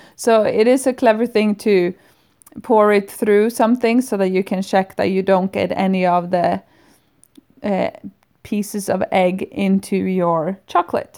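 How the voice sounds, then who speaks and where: At a fairly slow pace, a woman speaks with a dark, mellow tone. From northern Sweden. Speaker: podcast host. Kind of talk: casual monologue. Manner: hesitant, with filler sounds.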